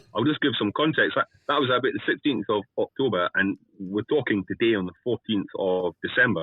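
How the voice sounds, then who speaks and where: With a Scottish accent, a man talks at a fairly quick pace with hardly any pauses. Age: 50s. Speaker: guest interviewer. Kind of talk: casual interview.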